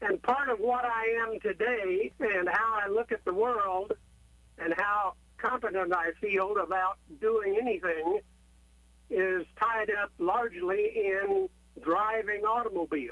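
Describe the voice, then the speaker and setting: A man with an American accent uses a raised, projected voice that is high, bright and sharp, at a fairly slow pace with ordinary pitch variation. His loudness stays very even, and the sound is dry and close with no echo. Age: 80s+. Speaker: caller. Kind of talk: call-in question.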